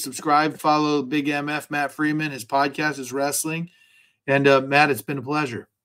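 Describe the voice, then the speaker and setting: A man talks in a normal speaking voice at a moderate pace. His pitch is fairly high. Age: 40s. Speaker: podcast host, attorney and wrestler. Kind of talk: casual interview chat.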